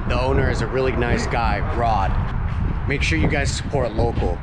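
A man's moderately paced speech comes through loud background noise. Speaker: fishing vlogger. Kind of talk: casual vlog chat. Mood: upbeat, friendly. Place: workshop. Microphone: phone near.

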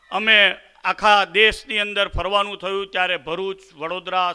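A man's voice with faint music in the background. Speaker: speaker. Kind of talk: religious address. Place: stage. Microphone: podium.

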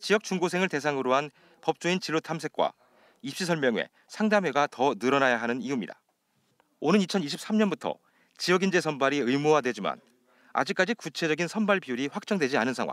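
An ordinary speaking voice from a man, fairly high in pitch, with lively intonation at a fairly quick pace. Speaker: news reporter. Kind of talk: news reporting, formal broadcast report. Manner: formal; steady, measured delivery.

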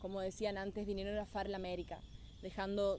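A woman with a Paraguayan accent speaks at a moderate pace and medium pitch in a dark, mellow, flat monotone, recorded dry with no echo over light background noise. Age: 20s. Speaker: beauty pageant winner. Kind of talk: testimonial talk to camera. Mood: reflective, heartfelt. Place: forest. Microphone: phone near.

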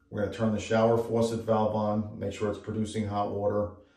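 A man talks at a moderate pace, his voice somewhat breathy. Room echo is audible. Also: quiet background. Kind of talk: tutorial. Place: bathroom. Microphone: phone near.

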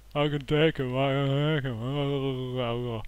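A man puts on a character voice at a medium pitch. He speaks very slowly in a monotone, flat delivery. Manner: slurred, dazed.

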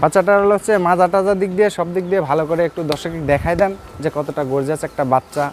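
A man's high-pitched voice, with ordinary pitch variation, sits over noticeable background noise. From Bangladesh, Pabna district. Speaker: cattle farmer and heifer trader. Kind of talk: sales pitch.

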